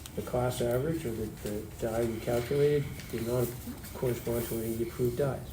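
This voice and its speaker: Over music in the background and with audible room echo, the speech runs at a fairly quick pace with ordinary pitch variation. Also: man. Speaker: high school chemistry teacher. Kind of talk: classroom lecture. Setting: classroom. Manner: fast.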